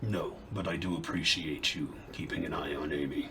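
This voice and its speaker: Over loud background noise, a man puts on a character voice and speaks at a moderate pace. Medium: actual play. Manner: formal, stilted.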